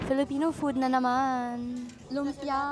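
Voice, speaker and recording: A woman speaks at a very slow pace in a high pitch. Music plays in the background. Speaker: vlogger. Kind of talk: casual vlog talk to camera.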